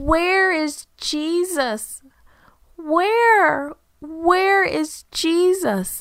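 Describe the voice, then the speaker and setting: A woman's put-on character voice, extremely high in pitch, very slow, with lively intonation. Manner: wailing.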